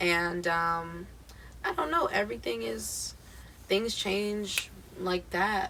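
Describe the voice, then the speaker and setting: This woman has an American accent. She talks at a very slow pace with long, frequent pauses. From US Midwest, Akron, Ohio. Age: 20s. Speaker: singer-songwriter. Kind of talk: casual chat.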